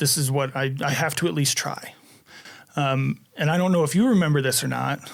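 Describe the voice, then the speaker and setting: A man talks at a fairly quick pace. His pitch is fairly high, with ordinary pitch variation. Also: very even loudness. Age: 30s. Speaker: former deputy sheriff turned life insurance agent. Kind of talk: podcast interview. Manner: soft-spoken; halting.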